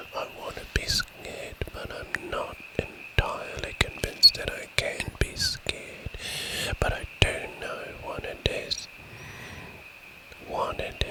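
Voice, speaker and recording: Whispering at a very slow pace with long, frequent pauses, a man varies widely in loudness over noticeable background noise. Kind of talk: ASMR nature recording. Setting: outdoors. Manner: whispered.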